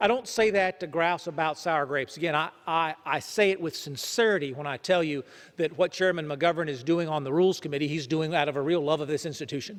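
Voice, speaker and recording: A man with a fairly high pitch talks at a very fast pace. There are hardly any pauses. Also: ordinary pitch variation. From Georgia. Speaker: congressman. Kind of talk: floor speech. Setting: legislative chamber. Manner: halting.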